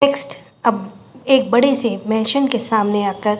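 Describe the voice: The text is read aloud plainly, with pitch moving an ordinary amount.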